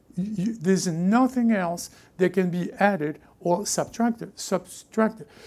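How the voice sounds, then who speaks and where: Fairly slow speech in a French accent. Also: very clean recording, silent background. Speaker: pastor. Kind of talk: sermon. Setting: church.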